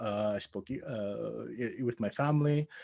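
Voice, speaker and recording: The man's voice sits at a medium pitch with ordinary pitch variation and a dry, close sound with no echo. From Canada, Edmonton, Alberta. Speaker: academic panelist. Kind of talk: panel discussion introduction. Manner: hesitant, many fillers.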